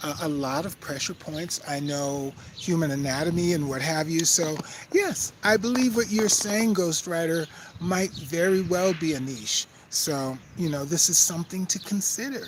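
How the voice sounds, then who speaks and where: At a moderate pace, the speaker carries on as noticeable background noise is heard. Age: 60s. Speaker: spiritual healer and qigong instructor. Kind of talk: casual vlog reading live chat. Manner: hesitant, many fillers.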